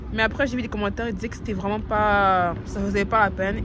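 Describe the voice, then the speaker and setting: Noticeable background noise and audible room echo surround the voice of a woman. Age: young. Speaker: lifestyle vlogger. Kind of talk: casual vlog talk. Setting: bus stop outdoors. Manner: whispering.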